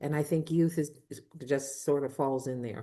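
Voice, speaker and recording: A woman talks fairly slowly, keeping her intonation fairly even. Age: 70s. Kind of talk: podcast interview. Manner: hesitant, with fillers and restarts.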